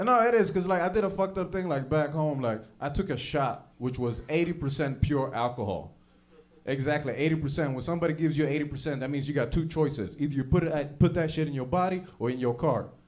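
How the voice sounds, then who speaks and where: In a room with audible echo, a man with an American accent talks very fast in a fairly high voice with ordinary pitch variation. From Sweden. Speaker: comedian. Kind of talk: stand-up.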